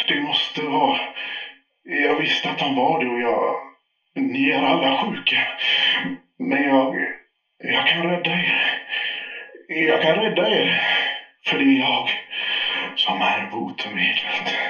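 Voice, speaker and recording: Pausing long and often, a man performs a put-on character voice at a fairly high pitch, with slight echo. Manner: defensive, increasingly unhinged.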